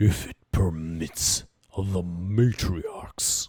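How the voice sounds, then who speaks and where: A man puts on a character voice with a very deep, low pitch. His intonation stays fairly even. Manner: formal, solemn.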